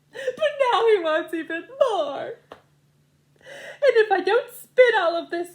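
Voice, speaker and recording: A woman puts on a character voice at an extremely high pitch. She speaks at a fairly slow pace with very wide pitch swings. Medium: read story.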